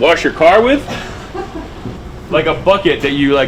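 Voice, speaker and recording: Noticeable background noise sits behind speech that runs at a fairly quick pace with lively intonation. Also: man. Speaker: vlogger. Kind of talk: casual chat. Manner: animated.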